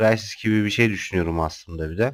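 Here a man talks at a fairly low pitch. His pitch variation is ordinary. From Turkey, Kocaeli (Izmit). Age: 30s. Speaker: gaming youtuber. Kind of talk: gameplay commentary. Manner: hesitant, many filler sounds.

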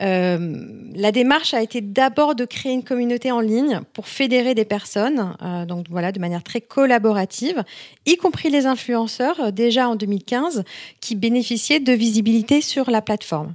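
A woman with an ordinary speaking voice talks at a moderate pace, her fairly high pitch carrying lively intonation. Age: 40s. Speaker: entrepreneur, founder of a beauty review website. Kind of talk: podcast interview.

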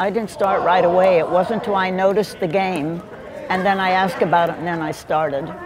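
Crowd noise fills the background as a woman talks at a fairly quick pace, her medium-pitched voice showing ordinary pitch variation. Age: 80s+. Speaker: pickleball player. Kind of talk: interview answer. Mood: warm, cheerful. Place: hall. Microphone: lapel.

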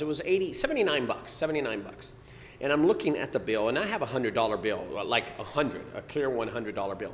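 A man is speaking. His pitch swings very widely. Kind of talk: casual vlog rant. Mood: annoyed, ranting. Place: studio.

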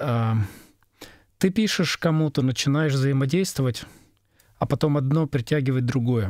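At a moderate pace and very even loudness, a man with a fairly high pitch and ordinary pitch variation speaks with long, frequent pauses in a dry, close sound with no echo. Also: very clean recording, silent background. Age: middle-aged. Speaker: sound engineer. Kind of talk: casual chat.

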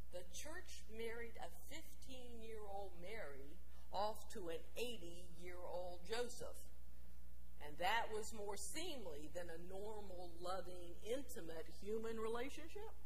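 Speech at a very slow pace with very even loudness comes through over light background noise. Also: woman. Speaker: preacher. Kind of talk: sermon in first-person character voice. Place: church.

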